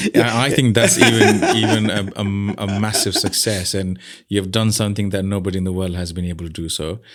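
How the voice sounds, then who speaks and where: In a room with audible echo, a man with a fairly low voice talks fairly quickly with hardly any pauses and fairly even intonation. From Nepali heritage. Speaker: podcast host and charity founder. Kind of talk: interview conversation.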